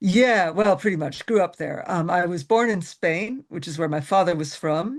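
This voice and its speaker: A woman with an American accent speaks at a fairly low pitch and a moderate pace, with lively intonation and hardly any pauses. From US Midwest, Chicago. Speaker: folk singer-songwriter. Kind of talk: casual interview.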